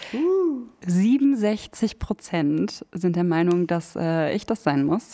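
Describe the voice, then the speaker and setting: Speaking at a very slow pace, a woman with a fairly low pitch uses lively intonation. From Hameln, Lower Saxony, Germany. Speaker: podcast co-host. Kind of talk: casual chat. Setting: coworking space studio.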